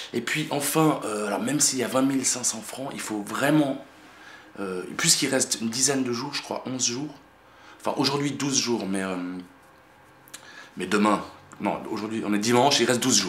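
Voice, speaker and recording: A man speaks at an even, middling speed, leaving long and frequent pauses, in a room with audible echo and noticeable background noise. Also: medium pitch for a man, ordinary pitch variation. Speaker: independent filmmaker. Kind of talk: casual video message to supporters. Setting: at home in apartment. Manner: soft-spoken; halting, many fillers.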